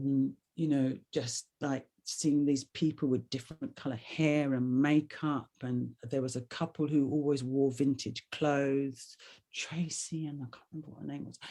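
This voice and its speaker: This woman talks at a fairly slow pace with hardly any pauses, her very deep, low pitch and dark, mellow tone held in a monotone, flat intonation despite big swings in loudness. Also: very clean recording, silent background. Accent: London. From London, England. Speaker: actor, writer and singer. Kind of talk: casual interview chat. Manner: gentle, winding.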